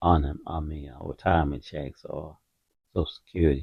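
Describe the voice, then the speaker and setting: This man's voice is very deep and low, and somewhat breathy. He speaks at a fairly slow pace in a flat monotone. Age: 60s. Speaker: retired stock trader and finance channel host. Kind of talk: casual market commentary. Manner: halting, many fillers and repetitions.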